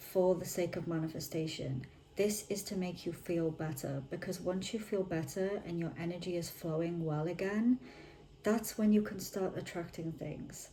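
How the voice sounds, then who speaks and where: With a British accent, a woman speaks at a moderate pace in a fairly low voice, her pitch varying in an ordinary way. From United Kingdom. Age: 20s. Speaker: manifestation content creator. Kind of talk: casual talk to camera. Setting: home, ambient freezer noise.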